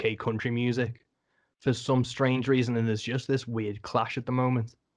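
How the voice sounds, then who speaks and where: Over a quiet background, a man speaks at a moderate pace with a medium pitch and monotone, flat intonation. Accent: English. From England. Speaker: podcast host. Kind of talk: casual interview chat.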